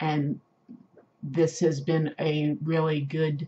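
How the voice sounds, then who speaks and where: A woman speaks with a very deep, low pitch. Her tone is dark, mellow and somewhat breathy. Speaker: video blogger living with multiple sclerosis. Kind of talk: casual talk to camera. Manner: slow speech with hesitations and word-finding difficulty.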